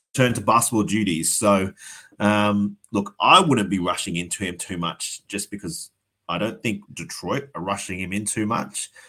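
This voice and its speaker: A man speaks at a moderate pace in a fairly low voice with a bright, sharp tone. Pitch varies in an ordinary way on a very clean recording with a silent background. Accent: Australian. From Australia. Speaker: fantasy sports podcast co-host. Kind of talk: casual chat.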